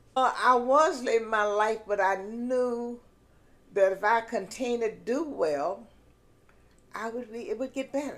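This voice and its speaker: With a Southern US accent, a woman speaks at a fairly slow pace in a fairly high voice, leaving long, frequent pauses. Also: ordinary pitch variation. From South Carolina, US. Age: 80s+. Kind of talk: interview answer.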